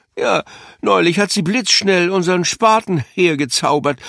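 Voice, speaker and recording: A man with a high voice speaks at a fairly slow pace. The very clean recording has a silent background and a dry, close sound with no echo. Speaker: audiobook narrator. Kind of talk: audiobook reading, children's story narration. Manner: animated, playful; lively character voices with varied pacing.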